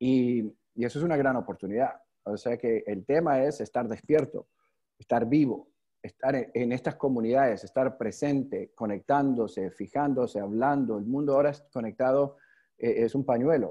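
At a moderate pace, a man speaks in a dark, mellow tone with ordinary pitch variation over a quiet background. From New York, US. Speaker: youth leadership network founder; guest. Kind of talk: online webinar talk. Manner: halting, many repetitions and fillers. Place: home room. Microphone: video call.

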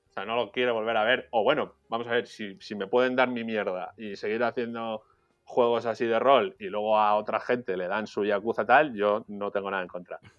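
With music in the background, a man speaks at a moderate pace and medium pitch with fairly even intonation. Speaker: video game journalist. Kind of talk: casual chat.

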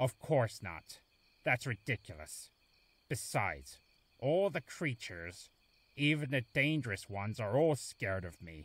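A man's cartoonish character voice with a fairly bright tone, big pitch swings and a slow pace. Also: medium pitch for a man.

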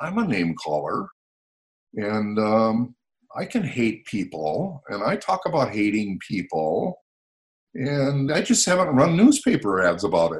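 His pitch rises and falls very widely. The man's voice also carries vocal fry. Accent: American. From United States. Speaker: motivational speaker. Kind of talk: casual interview. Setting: video call. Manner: animated.

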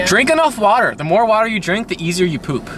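A croaky, put-on character voice speaks at a fairly high pitch and a very fast pace. Clear background noise runs underneath.

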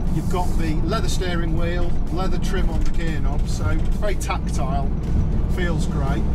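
Someone talks at a fairly quick pace with music in the background. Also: man. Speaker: vehicle reviewer. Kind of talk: review commentary. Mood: upbeat, enthusiastic. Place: car.

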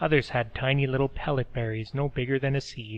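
The intonation stays fairly even through this plain reading aloud.

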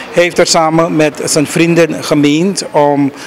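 The speaker has an ordinary speaking voice and a fairly slow pace with fairly even intonation. Light background noise runs underneath. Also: man. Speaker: news reporter. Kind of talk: news report. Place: street. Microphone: handheld.

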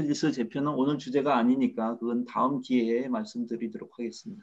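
A man's voice with ordinary pitch variation and a fairly quick pace. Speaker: researcher; presenter. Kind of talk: panel discussion. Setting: video call. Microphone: video call.

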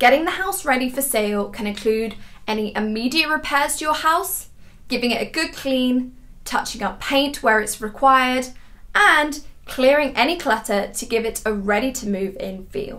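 With a bright, sharp tone and lively intonation, a woman speaks at a moderate pace in a high pitch. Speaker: property buying company host. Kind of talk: informational talk to camera. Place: home room.

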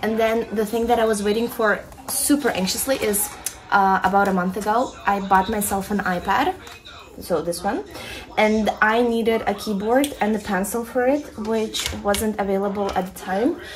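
The voice moves at a moderate pace with ordinary pitch variation. Light background noise is present. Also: woman. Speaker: vlogger. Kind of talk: casual vlog chat. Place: home room. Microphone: phone near.

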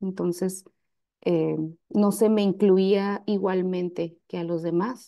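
Very slowly, a woman speaks at a medium pitch in a dark, mellow tone with flat, monotone intonation. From Mexico, Baja California (Ensenada). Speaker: rapper. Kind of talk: conference talk. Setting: video call.

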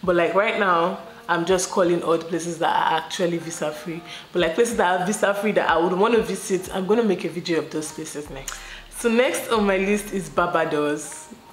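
A woman talks at a fairly quick pace with a fairly low pitch and ordinary pitch variation. There is audible room echo and light background noise. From Nigeria. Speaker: YouTuber; travel vlogger. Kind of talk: casual vlog talk to camera. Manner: chatty, with laughs and fillers.

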